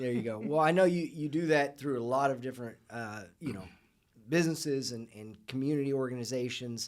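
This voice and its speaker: Here is a man with an unremarkable speaking voice at a medium pitch, talking at a fairly quick pace with ordinary pitch variation. His loudness swings widely. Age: 40s. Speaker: podcast host. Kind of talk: interview.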